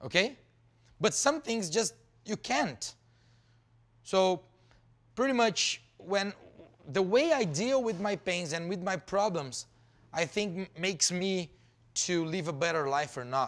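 A man with a high pitch and lively intonation, at a very slow pace with long, frequent pauses. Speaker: entrepreneur and former soccer player, motivational speaker. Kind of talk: pep talk. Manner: energetic, emphatic, repetitive; direct, punchy, conversational. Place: hall.

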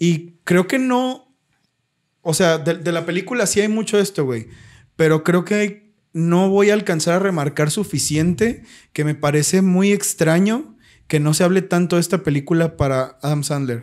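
A man with a Mexican accent speaks in a high pitch at a fairly slow pace. The recording is very clean, with a silent background. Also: ordinary pitch variation. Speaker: podcast co-host. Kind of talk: casual chat. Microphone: new microphone.

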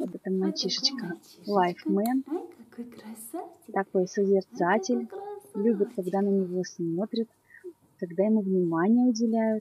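A woman speaks at a fairly slow pace, with long, frequent pauses and ordinary pitch variation. The sound is dry with no echo, and the background noise is noticeable. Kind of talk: presentation of puppies for sale. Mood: warm, cooing. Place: home room. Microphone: camera far.

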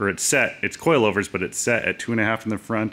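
A man speaks at a fairly low pitch with a bright, sharp tone. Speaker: truck owner reviewer. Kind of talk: review walkaround commentary. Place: garage.

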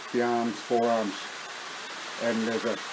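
The speaker is a man. Noticeable noise sits behind his voice. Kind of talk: casual vlog chat. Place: home room. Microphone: webcam.

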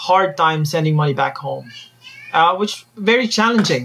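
The man speaks at a high pitch. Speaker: guest. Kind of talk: interview answer.

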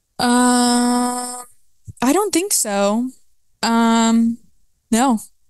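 Faint music plays in the background as a woman speaks in a dry sound with no echo. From Atlanta, Georgia (suburbs); Georgia. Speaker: podcast guest, college student; podcast guest. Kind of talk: casual chat. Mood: relaxed, casual. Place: home room. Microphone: handheld.

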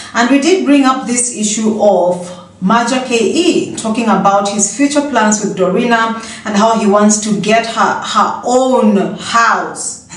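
In a room with audible echo, a woman talks at a fairly slow pace with ordinary pitch variation. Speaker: gossip vlogger. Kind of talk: casual vlog chat. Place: home room. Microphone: phone near.

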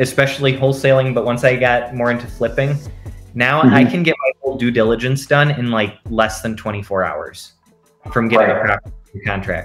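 A man speaks at a moderate pace with ordinary pitch variation while faint music plays in the background. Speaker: interview guest. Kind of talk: interview answer. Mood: relaxed, friendly. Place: home room.

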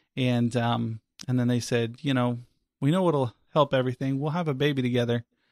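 With an American accent, a normal speaking voice moves at a fairly quick pace with fairly even intonation. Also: man, medium pitch for a man. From US South (Florida). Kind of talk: testimony.

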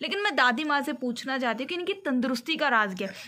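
A woman's high-pitched, bright, sharp voice at a fairly quick pace with ordinary pitch variation

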